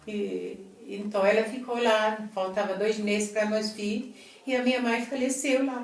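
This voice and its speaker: A woman's fairly high voice at a fairly slow pace, fairly even in intonation, with noticeable background noise and audible room echo. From Italy. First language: Italian (speaking Portuguese). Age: 70s. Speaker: Italian immigrant interviewee. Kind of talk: interview. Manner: halting.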